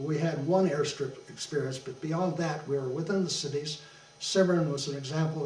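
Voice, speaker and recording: A man with an American accent, fairly high in pitch, at a fairly quick pace with fairly even intonation, amid noticeable background noise and audible room echo. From Detroit, Michigan, US. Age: 80s+. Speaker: war veteran. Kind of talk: oral history interview. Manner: halting, many fillers.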